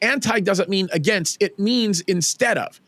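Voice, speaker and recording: Loud and high-pitched, a man with an American accent talks at a moderate pace with ordinary pitch variation, in a dry, close sound with no echo. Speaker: pastor. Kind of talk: interview conversation. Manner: halting with repetitions.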